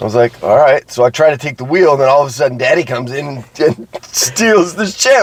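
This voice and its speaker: A man speaks at a fairly quick pace with a fairly high pitch and lively intonation, in an American accent. The sound is dry and close with no echo, and there is noticeable background noise. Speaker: podcast co-host. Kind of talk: casual chat. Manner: animated.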